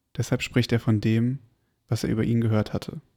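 The recording is very clean, with a silent background. A man speaks calmly at a medium pitch in a flat monotone. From Berlin, Germany. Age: 20s. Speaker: podcast host. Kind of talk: reading aloud. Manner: calm, slow.

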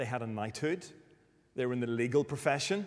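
A fairly quick delivery with ordinary pitch movement in a Northern Irish accent. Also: man. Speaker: preacher. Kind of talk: sermon.

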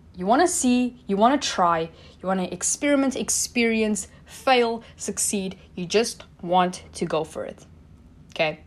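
With lively intonation and a fairly slow pace, an unremarkable speaking voice comes through on a very clean recording with a silent background. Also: woman, fairly high pitch for a woman. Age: 20s. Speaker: motivational podcaster. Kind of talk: motivational monologue.

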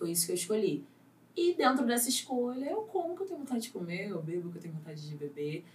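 At a very fast pace, a woman with a medium pitch makes very wide pitch swings and big swings in loudness, with noticeable background noise. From Rio de Janeiro, Vidigal favela. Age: 20s. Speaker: actress. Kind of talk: casual chat.

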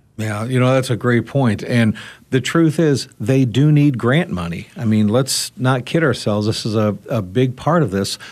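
An ordinary speaking voice at a moderate pace, with ordinary pitch variation and hardly any pauses. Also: man, medium pitch for a man. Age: 50s. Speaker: radio talk show host. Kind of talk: roundtable discussion.

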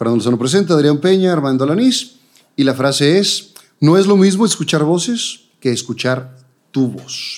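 This man has an unremarkable speaking voice, fairly high in pitch, and talks at a moderate pace. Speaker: TV presenter, interview host. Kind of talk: casual interview.

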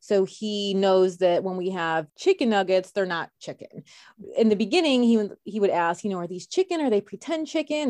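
In an American accent, a woman with an ordinary speaking voice talks at a moderate pace and medium pitch with lively intonation, the sound dry and close with no echo over a quiet background. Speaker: bakery owner. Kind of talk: casual chat.

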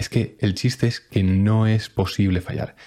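A man talks in a fairly low voice with fairly even intonation. His pace is fairly slow. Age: 20s. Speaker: personal development podcaster. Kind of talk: motivational monologue. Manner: emphatic.

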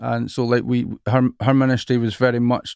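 The sound is dry and close with no echo as a man speaks at medium pitch with fairly even intonation. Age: 40s. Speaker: worship leader and songwriter, podcast host. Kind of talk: casual interview chat.

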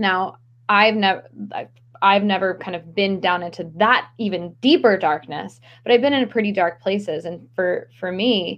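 Speaking at a fairly slow pace, a woman with an American accent has a plain, everyday voice at a medium pitch. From Maryland. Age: young. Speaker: stress management coach. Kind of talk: casual interview.

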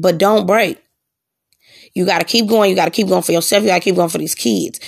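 In a very clean recording with a silent background, a woman speaks in an animated tone at a medium pitch. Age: 30s. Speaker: podcast host. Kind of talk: personal monologue, casual.

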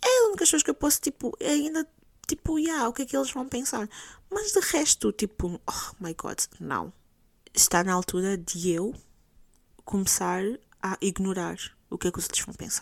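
A woman's fairly high, somewhat breathy voice at a moderate pace, with very wide pitch swings and long, frequent pauses, in a very clean, dry, close recording with no echo and a silent background. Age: 20s. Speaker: podcast host. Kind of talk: solo monologue podcast, casual. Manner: code-switching between Portuguese and English.

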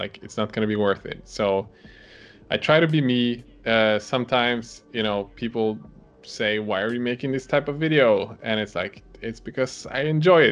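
A man with a Swedish accent speaks at a medium pitch with ordinary pitch variation. Music plays in the background. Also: moderate pace. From Sweden. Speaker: miniature painter and video creator. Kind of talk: casual chat. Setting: video call.

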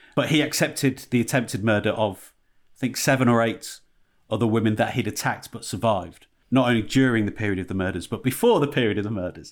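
A man with a Yorkshire accent speaks at a very fast pace, his pitch medium with ordinary variation. The recording is very clean, the background silent. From Yorkshire, northern England. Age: 40s. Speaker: podcast co-host. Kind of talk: casual comedic chat.

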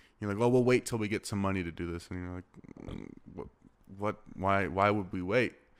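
An ordinary speaking voice carries an American accent at a fairly quick pace. The intonation is fairly even, while loudness swings a lot. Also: man, fairly low pitch for a man. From Arizona. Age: 20s. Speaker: podcast host, filmmaker. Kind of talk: casual interview.

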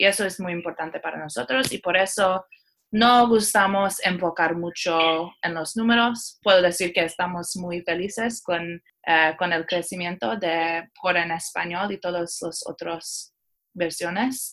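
With a fairly low pitch and ordinary pitch variation, a woman talks at a fairly slow pace. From Iran and Seattle. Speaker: tech company community manager. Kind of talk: interview. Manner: halting.

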